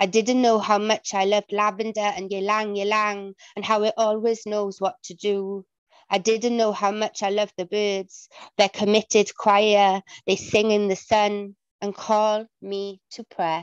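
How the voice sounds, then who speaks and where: A woman talks at a medium pitch in a monotone, flat intonation and at a fairly slow pace. The sound is dry with no echo, and the background is quiet. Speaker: parent and amateur writer; poet at an online open mic. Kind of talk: poetry reading. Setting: video call, at home. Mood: earnest, reflective. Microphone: video call.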